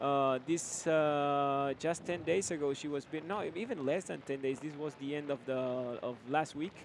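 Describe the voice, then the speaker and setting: A man's fairly high voice with a Spanish accent, fairly even intonation and a moderate pace, hardly any pauses, and noticeable background noise. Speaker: sports commentator. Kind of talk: live commentary. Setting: studio. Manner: halting, many fillers.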